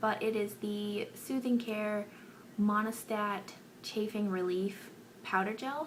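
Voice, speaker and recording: A soft-spoken woman talks very slowly with fairly even intonation. Her pitch is fairly high. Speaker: beauty vlogger. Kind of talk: casual chat. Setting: bedroom.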